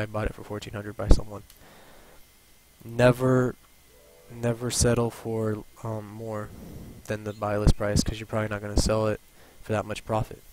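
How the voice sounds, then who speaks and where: A man's monotone, flat delivery at a moderate pace, with noticeable background noise. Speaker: gaming YouTuber. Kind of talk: tutorial. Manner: halting, stuttering.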